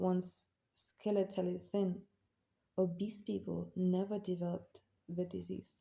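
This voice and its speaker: At a very slow pace, a woman speaks with a non-native accent. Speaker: amateur audiobook reader. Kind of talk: audiobook nonfiction reading.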